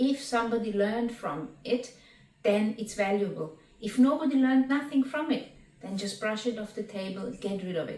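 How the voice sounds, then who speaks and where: A woman with a non-native accent, fairly high in pitch, at a moderate pace with ordinary pitch variation. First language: not English. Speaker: spiritual teacher and qigong instructor. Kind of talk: reading and commentary on spiritual text.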